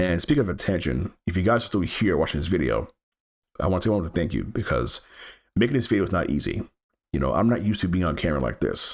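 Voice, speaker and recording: A man's very deep, low voice with vocal fry, lively intonation and a very fast pace. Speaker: gaming YouTuber. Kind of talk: channel update talk to camera. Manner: halting, with repetitions.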